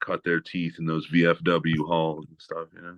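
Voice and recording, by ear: At a moderate pace, a man talks with a low pitch. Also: fairly bright tone.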